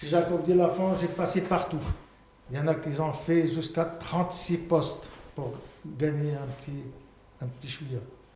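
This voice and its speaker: A man speaks at a fairly slow pace with long, frequent pauses, his pitch fairly high and his intonation fairly even, while his loudness swings widely. Audible room echo and noticeable background noise surround him. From abroad, immigrated to France. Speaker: retired factory worker. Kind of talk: testimony.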